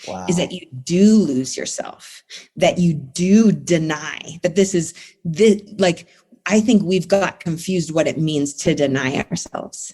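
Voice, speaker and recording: A woman speaks at a fairly low pitch with ordinary pitch variation. Her tone is dark and mellow, and somewhat breathy. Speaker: therapist. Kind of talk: interview answer.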